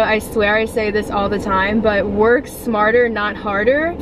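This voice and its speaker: A woman speaks with fairly even intonation in a dry sound with no echo. Background noise is noticeable. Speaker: vlogger. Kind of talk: casual vlog chat. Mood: relaxed, cheerful. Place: car. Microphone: phone near.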